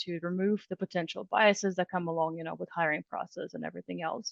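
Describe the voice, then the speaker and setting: In a Russian accent, a woman talks at a fairly quick pace and a medium pitch. The sound is dry and close, with no echo. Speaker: HR director. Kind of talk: podcast interview. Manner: hesitant, many fillers.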